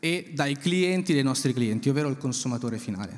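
A man speaks with ordinary pitch variation. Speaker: payments industry executive; speaker. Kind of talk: panel discussion. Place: stage. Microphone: handheld.

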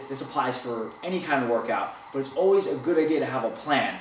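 A man talks at a fairly quick pace. Audible room echo and light background noise surround him. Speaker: conditioning coach. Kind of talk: tutorial. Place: office. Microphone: camera far.

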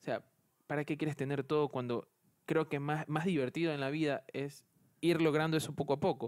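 A man talks at a fairly quick pace in a fairly high pitch and a monotone, flat intonation. The recording is very clean, with a silent background. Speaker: office worker and university student. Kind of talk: casual chat. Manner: halting.

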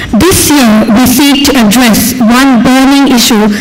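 A woman talks at a high pitch with fairly even intonation. Light background noise can be heard. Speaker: event host. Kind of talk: ceremony announcement. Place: hall.

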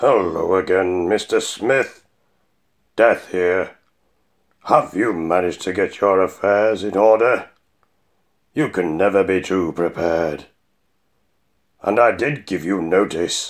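Putting on a character voice, a man speaks with very deep, low pitch at a fairly slow pace, leaving long, frequent pauses. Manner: calm, polite, unhurried, faintly menacing.

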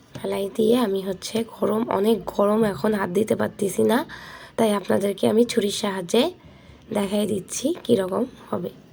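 Vocal fry runs through a woman's medium-pitched voice. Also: ordinary pitch variation. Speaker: cooking vlogger. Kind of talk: cooking tutorial. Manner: halting, casual.

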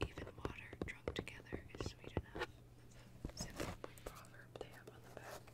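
A woman whispers in a gentle tone at a fairly slow pace. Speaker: tea product reviewer. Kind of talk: soft-spoken show-and-tell, ASMR-like. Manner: gentle whispered reading. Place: home room.

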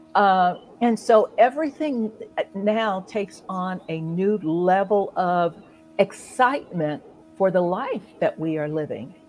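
Over music in the background, a woman with an American accent talks at a very slow pace with lively intonation. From Ohio, US Midwest. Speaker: author and coach. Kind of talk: casual chat. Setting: live stream. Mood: warm, grateful, animated. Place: home room. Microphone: video call.

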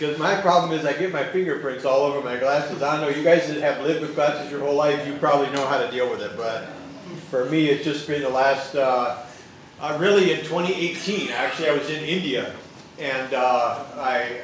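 A man is talking, with light background noise and room echo both audible. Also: ordinary pitch variation, fairly quick pace. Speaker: guest preacher. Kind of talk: sermon. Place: church.

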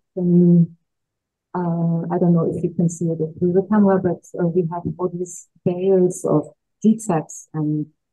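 Music plays in the background. Over it, a woman speaks at a fairly slow pace. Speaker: panel moderator. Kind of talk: moderator introduction. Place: hall.

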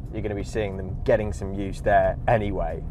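At a moderate pace, the speech comes through dry with no echo and light background noise. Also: man. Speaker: car reviewer. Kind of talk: casual driving review commentary. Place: car.

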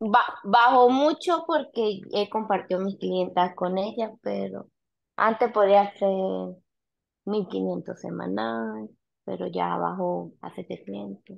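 A very slow woman's voice with big swings in loudness, against a quiet background. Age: 30s. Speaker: nail salon owner. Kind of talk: mentoring session. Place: home room. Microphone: video call.

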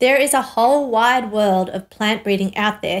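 A woman at a moderate pace, ordinary pitch variation, quiet background. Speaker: course teacher. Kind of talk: tutorial. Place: studio.

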